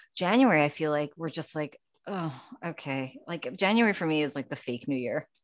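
A woman speaks at a fairly quick pace with a very deep, low pitch. Her intonation is lively. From New York, Long Island. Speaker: novelist. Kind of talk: casual interview. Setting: remote call from attic office. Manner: chatty.

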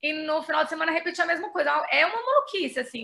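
A woman talks at a fairly quick pace in a raised, projected voice. Her tone is bright and sharp. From Brazil, Belo Horizonte, Minas Gerais. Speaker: journalist and writer. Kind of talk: casual interview.

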